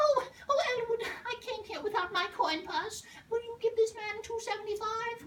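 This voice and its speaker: A woman's squeaky, put-on character voice at an extremely high pitch, moderate in pace with ordinary pitch variation, over clear background noise. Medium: audio drama. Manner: fluttery, fussy, indignant.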